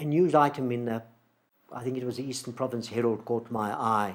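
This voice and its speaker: The speaker is a man with a medium pitch and a South African accent. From Port Elizabeth, South Africa. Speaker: playwright. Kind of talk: interview answer. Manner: reflective, hesitant.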